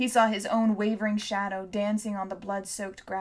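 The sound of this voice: Reading in an unforced voice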